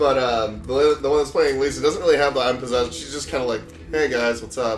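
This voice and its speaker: Over background music, a man with a medium pitch speaks very fast with fairly even intonation. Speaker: podcast host. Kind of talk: movie commentary chat. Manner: casual, hesitant with fillers.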